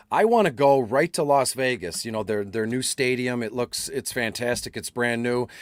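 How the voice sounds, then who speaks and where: A man speaks at a medium pitch with ordinary pitch variation and hardly any pauses. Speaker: fantasy football analyst. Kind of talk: casual chat. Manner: fast; animated.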